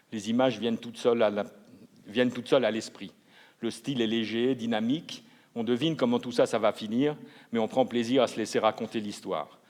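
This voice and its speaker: A man at a medium pitch and a fairly quick pace, broken by long, frequent pauses. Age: 60s. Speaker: literary jury member. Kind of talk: book presentation at award ceremony. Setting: ceremony hall.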